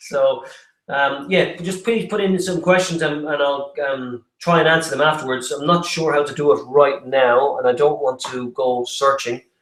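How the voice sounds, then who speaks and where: A man with an Irish accent speaks at a moderate pace in a fairly high voice with ordinary pitch variation. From Ireland. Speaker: property development presenter. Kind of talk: online webinar presentation. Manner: halting, many fillers and repetitions.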